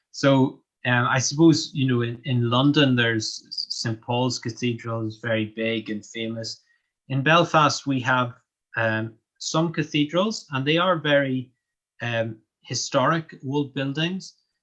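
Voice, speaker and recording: A man speaks at medium pitch with ordinary pitch variation. The background is quiet. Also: fairly slow pace. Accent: Northern Irish. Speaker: English language teacher. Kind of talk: interview. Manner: hesitant, with many fillers.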